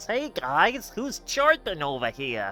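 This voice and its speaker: Putting on a character voice at high pitch, a man swings his pitch very widely at a fairly slow pace, with clear background noise behind him. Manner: nerdy, eager.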